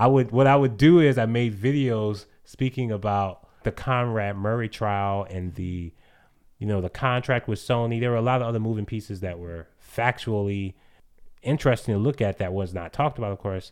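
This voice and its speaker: Over a quiet background, a man with an unremarkable speaking voice talks at a moderate pace in a medium pitch with ordinary pitch variation. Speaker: podcast co-host. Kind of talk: casual chat.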